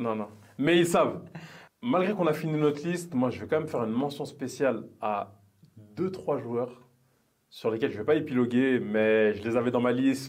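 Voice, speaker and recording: Fairly quick male speech in a normal speaking voice, medium in pitch, with ordinary pitch variation. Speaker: football podcast co-host. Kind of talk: casual chat.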